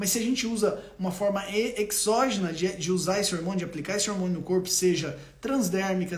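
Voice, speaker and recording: A high-pitched male voice with ordinary pitch variation, audible room echo and noticeable background noise. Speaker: doctor. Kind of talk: live stream health talk. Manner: animated.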